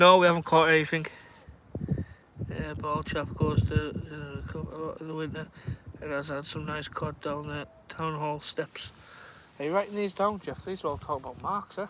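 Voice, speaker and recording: Over noticeable background noise, a fairly high-pitched man speaks at a moderate pace with ordinary pitch variation and long, frequent pauses. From northern England, Carlisle. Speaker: fishing livestreamer. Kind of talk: casual chat. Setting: outdoors.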